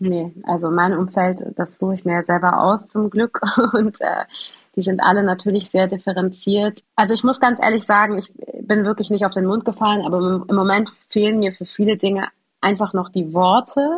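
A somewhat breathy voice with fairly even intonation at a moderate pace. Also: woman, medium pitch for a woman. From Hamburg, northern Germany. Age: young. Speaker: journalist reporting on Palestine. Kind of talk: conversational interview.

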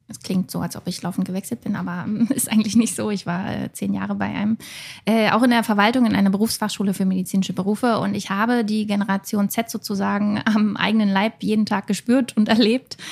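Against noticeable background noise, a woman talks at a very fast pace with fairly even intonation. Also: medium pitch for a woman. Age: 30s. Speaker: self-employed graphic designer and online shop owner. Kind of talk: casual discussion.

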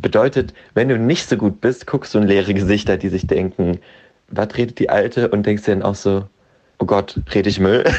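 Speaking in a plain, everyday voice, a man keeps a fairly low pitch and very even loudness. His pace is moderate and his pitch varies in an ordinary way. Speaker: guest. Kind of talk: casual conversational.

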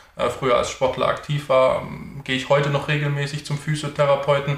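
A man with a fairly high pitch talks at a fairly quick pace. Noticeable background noise and audible room echo surround him. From Stuttgart area, Germany. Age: 30s. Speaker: sales consultant, former handball player. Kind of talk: interview.

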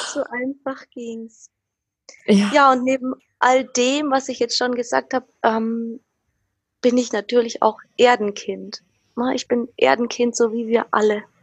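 Very slowly and with long, frequent pauses, a woman speaks at a high pitch in monotone, flat intonation. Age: 20s. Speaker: social worker and horsewoman. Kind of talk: casual interview.

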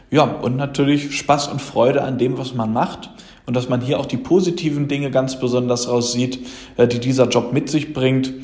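A man's medium-pitched voice at a moderate pace, with noticeable background noise. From Germany, Lower Rhine region. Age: 20s. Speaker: insurance sales manager. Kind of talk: interview.

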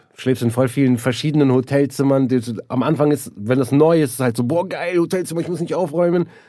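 A man with a dark, mellow tone and a fairly high pitch talks at a fairly quick pace with ordinary pitch variation and hardly any pauses. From Neuss, Germany. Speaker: stand-up comedian and actor. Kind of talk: casual banter, comedy podcast.

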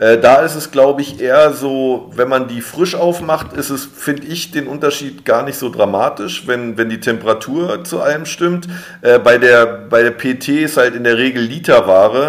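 In an unremarkable speaking voice, a man talks at a moderate pace with a fairly high pitch, ordinary pitch variation and hardly any pauses. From Berlin, Germany. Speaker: drinks brand ambassador, former bartender. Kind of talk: interview.

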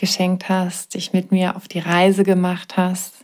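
In a very clean recording with a silent background, the speaker talks at a very slow pace in a soothing, calm tone. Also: woman. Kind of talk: guided meditation. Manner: slow, soothing and calm, with long pauses; gentle, warm and reassuring.

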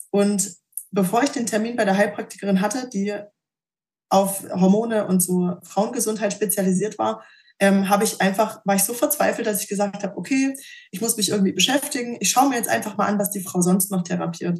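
Somewhat breathy and medium in pitch, a woman's voice moves at a fairly quick pace with ordinary pitch variation. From Thuringia, Germany. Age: 20s. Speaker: patient sharing her story. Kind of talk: personal testimony interview.

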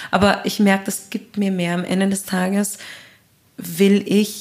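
A woman's medium-pitched voice at a moderate pace. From Austria. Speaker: singer and composer. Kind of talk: interview.

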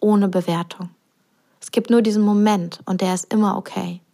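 A woman speaks at a moderate pace with a medium pitch, a dark, mellow tone and fairly even intonation, in a very clean recording with a silent background. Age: 30s. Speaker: podcast host and business coach. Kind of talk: solo podcast monologue. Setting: living room at home.

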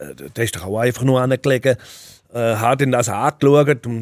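The pace from this man is moderate, with an ordinary speaking voice. The variation in his pitch is ordinary. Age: 40s. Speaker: Swiss wrestler. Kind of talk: interview.

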